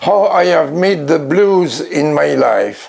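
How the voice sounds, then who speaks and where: A high-pitched man with a French accent, over noticeable background noise. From France. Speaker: blues record collector and producer. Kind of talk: award acceptance speech. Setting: recorded at home in his record room.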